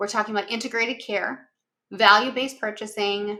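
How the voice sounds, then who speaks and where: A woman with a Minnesotan accent at a fairly high pitch, moderate pace and fairly even intonation. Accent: Minnesota. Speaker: executive functioning consultant and company founder. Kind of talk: webinar presentation practice run. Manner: some pauses and false starts.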